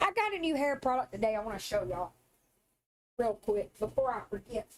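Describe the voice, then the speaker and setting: Lively intonation and fairly high pitch from a woman with a Southern US accent. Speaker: live streamer. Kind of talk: casual chat.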